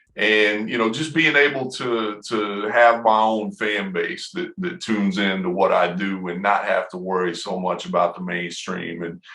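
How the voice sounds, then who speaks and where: A man with a Southern US accent speaks at a fairly low pitch with ordinary pitch variation. His pace is moderate, with hardly any pauses. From US South, Knoxville, Tennessee. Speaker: rapper and music producer. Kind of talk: interview. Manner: hesitant, many fillers.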